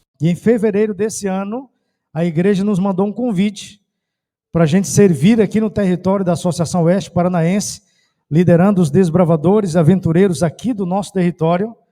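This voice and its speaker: A man with a northeastern Brazilian accent, high pitch, a dark, mellow tone, ordinary pitch variation, and a fairly quick pace. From Brazil, Ceará. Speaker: pastor. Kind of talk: sermon. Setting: church.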